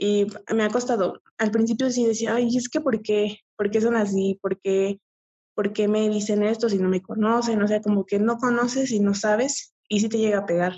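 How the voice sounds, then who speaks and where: A somewhat breathy woman's voice, fairly high in pitch, at a moderate pace with fairly even intonation and very even loudness. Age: 20s. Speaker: adult content creator and nursing student. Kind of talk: casual interview.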